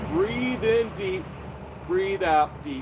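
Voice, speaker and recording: Through noticeable background noise, a man with a high voice speaks very slowly. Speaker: wellness instructor. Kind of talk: tutorial. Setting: outdoors. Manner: casual, halting with fillers; loud. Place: garden. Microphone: no microphone, camera mic; phone near.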